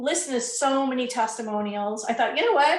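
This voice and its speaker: A woman with a plain, everyday voice talks at a fairly quick pace. Her pitch variation is ordinary. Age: 60s. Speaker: product testimonial giver. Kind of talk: testimony.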